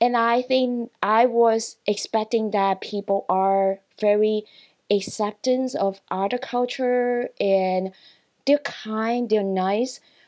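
A woman's fairly high-pitched voice, fairly even in intonation, at a very slow pace. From Hong Kong. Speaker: customer service employee. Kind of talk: interview.

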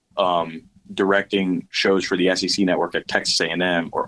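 A man's very deep, low voice, bright and sharp in tone, with flat, monotone intonation. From US South. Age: 20s. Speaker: university athletics video coordinator. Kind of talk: podcast interview.

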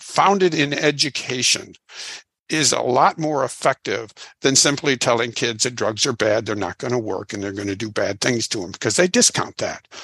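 This man has an American accent, a medium pitch and a bright, sharp tone, with lively intonation. He talks at a moderate pace, and the sound is dry and close with no echo. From Illinois. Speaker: addiction counselor and author. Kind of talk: interview.

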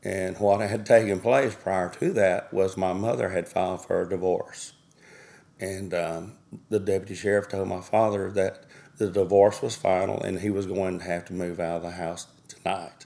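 A man's very deep, low voice with a dark, mellow tone, in a Southern US accent, monotone and flat at a moderate pace. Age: 60s. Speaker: bereaved father. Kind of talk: testimony.

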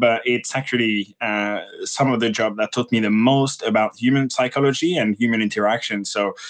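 Speaking at a medium pitch, a man talks with a French accent. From France. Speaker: interviewer, space host. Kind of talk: casual interview. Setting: Twitter Spaces live audio.

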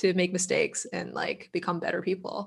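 An ordinary speaking voice, a woman with an American accent, medium pitch and a moderate pace. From Boston, US. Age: 30s. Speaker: composer and lyricist. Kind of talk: casual chat.

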